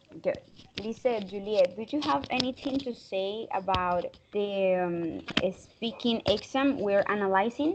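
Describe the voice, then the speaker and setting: Here is a woman with a normal speaking voice at a medium pitch. She talks at a fairly slow pace with lively intonation. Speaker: English conversation teacher. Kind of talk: online class. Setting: video call.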